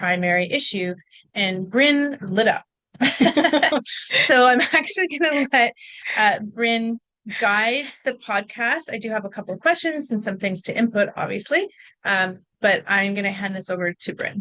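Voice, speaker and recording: Speaking at a fairly slow pace, a woman has a fairly high pitch, lively intonation and a bright, sharp tone. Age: 50s. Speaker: osteopath podcast co-host. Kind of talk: casual podcast chat. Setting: in the same room as co-host.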